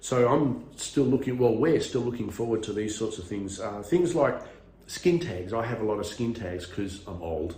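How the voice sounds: A man's fairly low, slightly mellow voice with lively intonation at a moderate pace, in strong room echo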